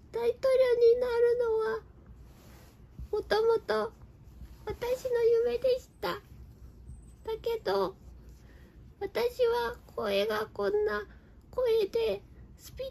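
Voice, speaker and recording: A woman performs a cartoonish character voice at an extremely high pitch. She goes very slowly, with long, frequent pauses. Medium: puppet show. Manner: shy, self-doubting when confessing.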